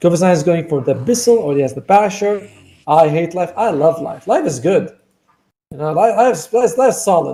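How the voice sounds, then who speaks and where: With a dark, mellow tone and high pitch, a man talks at a fairly quick pace with lively intonation. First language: not English. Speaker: esports caster. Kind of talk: live commentary. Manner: casual, chatty with asides.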